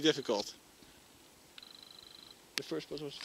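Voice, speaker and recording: The speaker is a man. There is noticeable noise behind him. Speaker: truck driver. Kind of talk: casual talk to camera.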